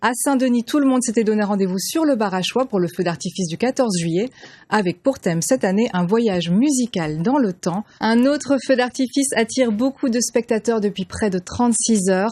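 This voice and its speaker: A woman with a dark, mellow, somewhat breathy tone speaks at a fairly high pitch and moderate pace, with lively intonation and hardly any pauses, in a dry, close sound with no echo. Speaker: TV news presenter. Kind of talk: TV news broadcast anchor read. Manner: clear, professional, measured.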